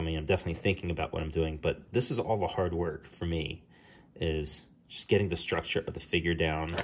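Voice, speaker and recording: In a New Jersey accent, a man with a very deep, low voice talks at a fairly quick pace amid light background noise. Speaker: comic book artist; comic artist. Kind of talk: tutorial. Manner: casual, with frequent fillers. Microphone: phone near.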